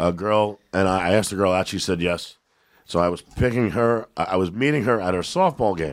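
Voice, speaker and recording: Words arrive at a fairly quick pace, with pitch varying in an ordinary way. Background silence and a very clean recording surround them. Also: man, very deep, low pitch for a man. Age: 50s. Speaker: comedian and actor. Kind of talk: casual chat. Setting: studio.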